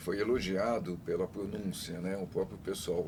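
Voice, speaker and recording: Very deep and low, a man's voice comes through. Audible room echo surrounds it. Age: 70s. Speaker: father of a guest with Down syndrome, former council member. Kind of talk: casual chat.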